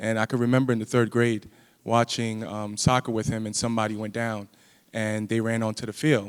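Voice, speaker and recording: Speaking at a fairly quick pace, a man with a New York accent uses a medium pitch. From US Northeast, Brooklyn, New York. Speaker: physical therapist and faculty member. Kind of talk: panel talk.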